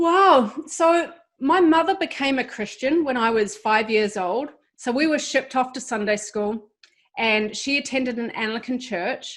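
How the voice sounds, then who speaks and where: A woman with a New Zealand accent speaks at a fairly slow pace in a high voice with lively intonation. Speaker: ministry founder, guest. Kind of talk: testimony. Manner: hesitant fillers.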